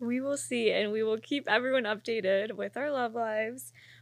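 It is a plain, everyday voice. A woman speaks with a fairly high pitch and ordinary pitch variation. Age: 20s. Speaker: podcast host. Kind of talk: casual chat.

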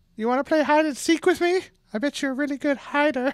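In a put-on character voice, a female-sounding speaker races at a very fast pace with a high pitch. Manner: creepy, coaxing.

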